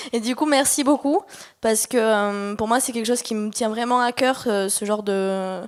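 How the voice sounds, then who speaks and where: This woman talks at a moderate pace, her fairly high pitch rising and falling in an ordinary way. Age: 20s. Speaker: audience member at conference. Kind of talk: audience comment at workshop Q&A. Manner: hesitant, many fillers.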